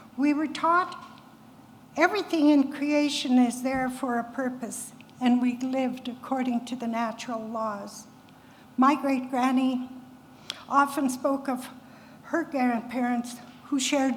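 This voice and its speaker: The speaker goes at a fairly slow pace, with long, frequent pauses and fairly even intonation. Room echo is audible. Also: woman. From Canada, Cree First Nation. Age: 80s+. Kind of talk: public talk.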